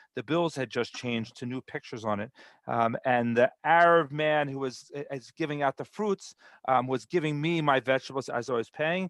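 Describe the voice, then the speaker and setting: This man has an American accent and a fairly high pitch, with ordinary pitch variation. He talks at a fairly quick pace, and the sound is dry and close with no echo. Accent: American accent in Hebrew. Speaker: immigration program presenter. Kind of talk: online webinar talk. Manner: halting, many repetitions.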